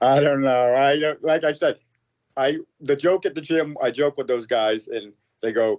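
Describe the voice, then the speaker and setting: Speaking with an American accent, a man talks at a fairly high pitch and moderate pace with ordinary pitch variation. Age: 50s. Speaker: firefighter and amateur MMA fighter. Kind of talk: casual interview. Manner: halting, many false starts.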